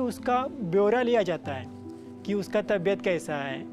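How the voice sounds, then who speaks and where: With music in the background, a man speaks at a high pitch using lively intonation. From Karnataka, India. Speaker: retired army soldier, Siachen veteran. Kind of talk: interview answer.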